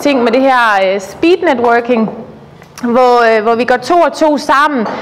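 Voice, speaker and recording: High pitch from a woman, with noticeable background noise behind her. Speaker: network group facilitator. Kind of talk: meeting facilitation speech. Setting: room with chatting crowd. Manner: halting, many fillers.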